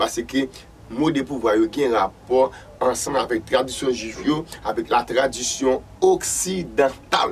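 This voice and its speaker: Over light background noise, a man talks at a moderate pace with ordinary pitch variation and very even loudness. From Haiti. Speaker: vodou practitioner and channel host; channel host. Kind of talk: spiritual teaching monologue. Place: studio.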